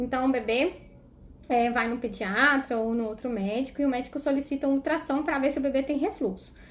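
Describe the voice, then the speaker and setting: Fairly quick speech from a woman, high in pitch, its melody varying in an ordinary way. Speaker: pediatric gastroenterologist. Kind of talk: live stream Q&A talk. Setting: live stream. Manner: fast.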